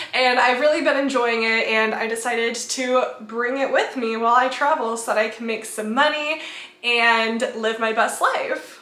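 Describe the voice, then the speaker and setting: A woman speaks at a moderate pace in a high voice with fairly even intonation. There is noticeable background noise and audible room echo. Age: 20s. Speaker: travel vlogger. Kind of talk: vlog narration. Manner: casual.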